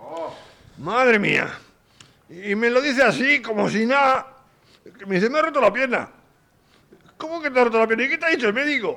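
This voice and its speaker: Raised and projected, a man's extremely high-pitched voice moves at a fairly quick pace with lively intonation and long, frequent pauses. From Vizcaya, Spain. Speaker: psychiatric care home resident. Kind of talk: radio interview.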